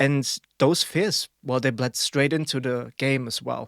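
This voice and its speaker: In a very clean recording with a silent background, a man with a German accent talks at a moderate pace in a fairly high pitch, the sound dry and close with no echo. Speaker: podcast co-host. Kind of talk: casual podcast chat.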